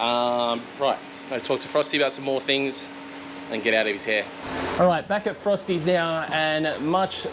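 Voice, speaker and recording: With an Australian accent, a man talks at a fairly slow pace with ordinary pitch variation over noticeable background noise. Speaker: car vlogger. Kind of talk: casual vlog talk. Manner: loud.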